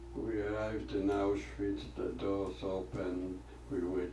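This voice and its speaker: With audible room echo and noticeable background noise, a man speaks at a fairly slow pace in a very deep, low pitch with very wide pitch swings. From Poland (Lodz). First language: Polish or Yiddish. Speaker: Holocaust survivor. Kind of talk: testimony.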